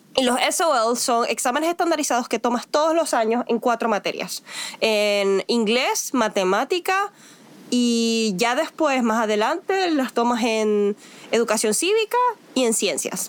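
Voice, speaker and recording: A woman's high voice at a fairly slow pace, with lively intonation and very even loudness, over noticeable background noise. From Venezuela. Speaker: podcast host, educator. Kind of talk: casual chat.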